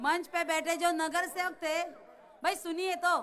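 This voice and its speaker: An extremely high-pitched woman's voice with a bright, sharp tone, in a Marathi accent, with audible room echo. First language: Marathi (speaking Hindi). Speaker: election candidate. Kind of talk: political rally speech. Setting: stage with audience.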